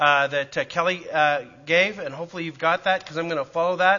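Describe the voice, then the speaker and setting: Someone with a Canadian accent talks at a very fast pace with fairly even intonation. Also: man. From Canada, Calgary. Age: 50s. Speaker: preacher and church planter. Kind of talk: church class teaching. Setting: church with audience.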